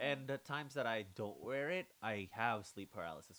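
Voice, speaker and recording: Speaking at a moderate pace, a man with a normal speaking voice and medium pitch uses lively intonation. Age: 20s. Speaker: podcast host. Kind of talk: casual chat.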